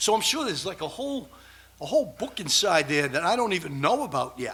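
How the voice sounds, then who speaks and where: Very wide pitch swings mark this very fast speech in a Boston accent. Audible room echo and noticeable background noise come through. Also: man, high pitch for a man. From Massachusetts, south of Boston. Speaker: researcher, conference speaker. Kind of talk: conference presentation. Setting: stage with audience. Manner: casual, improvised.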